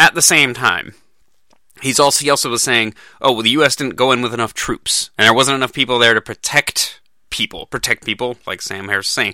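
A man with a medium pitch and a bright, sharp tone at a fairly quick pace, dry and close with no echo on a very clean recording with a silent background. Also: fairly even intonation. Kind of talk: commentary.

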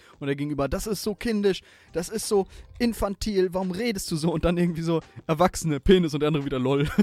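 A man talks at a very fast pace with a high pitch and ordinary pitch variation. The sound is dry and close, with no echo. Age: 20s. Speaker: gaming podcaster and streamer. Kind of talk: casual chat.

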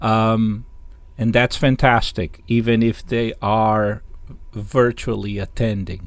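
Someone with a Portuguese accent speaks at a very slow pace with fairly even intonation. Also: man, medium pitch for a man. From Brazil, Sao Paulo. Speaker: jazz musician and professor. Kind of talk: interview. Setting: video call. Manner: halting.

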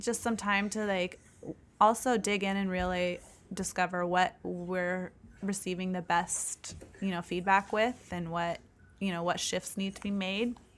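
Fairly slow speech from a woman in a monotone, flat intonation. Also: medium pitch for a woman. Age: 20s. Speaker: podcast co-host on grief and death. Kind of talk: casual chat.

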